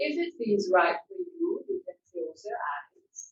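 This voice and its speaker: A woman talks at a fairly slow pace, somewhat breathy. Her intonation is lively. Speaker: yoga teacher. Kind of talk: guided yoga class instruction. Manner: soothing, calm, slow.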